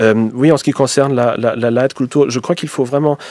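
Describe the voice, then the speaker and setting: This man speaks with a German accent at a medium pitch, keeping his intonation fairly even. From German-speaking Belgium. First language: German (speaking French). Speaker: historian, professor. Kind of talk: radio debate. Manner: halting, many hesitations.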